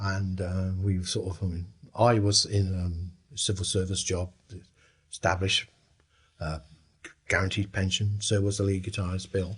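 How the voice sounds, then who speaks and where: A somewhat breathy man with a fairly low pitch speaks at a moderate pace. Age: 70s. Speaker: former 1960s band member. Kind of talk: interview reminiscence.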